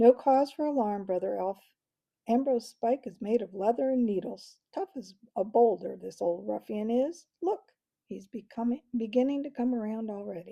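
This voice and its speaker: Putting on a character voice, a woman talks at a moderate pace and a fairly high pitch. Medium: read story. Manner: calm, warm.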